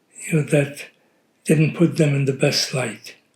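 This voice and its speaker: Monotone, flat intonation marks a man's somewhat breathy voice. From Poland. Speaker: Holocaust survivor family interviewee. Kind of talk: oral history interview. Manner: halting.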